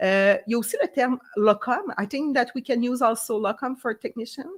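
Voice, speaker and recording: With a French accent, a woman talks at a very fast pace in a fairly high pitch with ordinary pitch variation, on a very clean recording with a silent background. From Quebec. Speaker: veterinarian, live stream host. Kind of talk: bilingual live interview. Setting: Facebook live stream. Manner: halting with many fillers.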